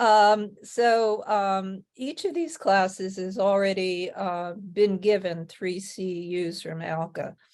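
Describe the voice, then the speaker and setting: Speaking at a very slow pace, a woman with an American accent has a medium pitch and ordinary pitch variation. Her loudness swings widely. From New Jersey. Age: 70s. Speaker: webinar presenter, care management teacher. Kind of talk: webinar presentation. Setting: online webinar.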